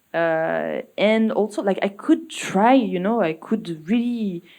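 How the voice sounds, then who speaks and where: The speaker talks in a French accent with ordinary pitch variation. The background is quiet. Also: woman. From France. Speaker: musician. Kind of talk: interview. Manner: halting.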